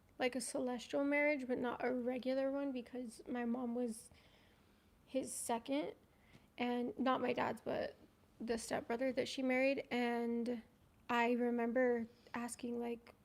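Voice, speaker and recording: A woman's high, quiet voice, monotone and flat, at a fairly slow pace with long, frequent pauses. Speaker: ex-polygamy community member guest. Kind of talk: casual livestream chat. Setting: livestream. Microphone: too quiet, mic too far.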